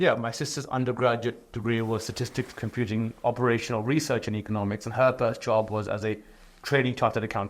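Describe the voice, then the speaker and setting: Very fast speech with fairly even intonation and a British accent. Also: man, medium pitch for a man. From England. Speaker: entrepreneur and author. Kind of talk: interview.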